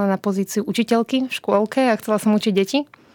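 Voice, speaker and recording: A woman speaks in a plain, everyday voice at medium pitch and a moderate pace, with a dry, close sound with no echo on a very clean recording with a silent background. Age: 20s. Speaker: journalist and book co-author. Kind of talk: interview conversation.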